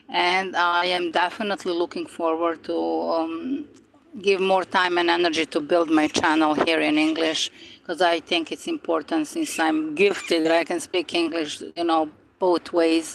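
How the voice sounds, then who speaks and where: Against noticeable background noise, a woman with a fairly low pitch speaks at a moderate pace with fairly even intonation. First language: non-English native language. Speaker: spiritual YouTuber. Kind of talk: casual live-stream monologue. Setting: outdoors by the ocean. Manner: hesitant, many fillers.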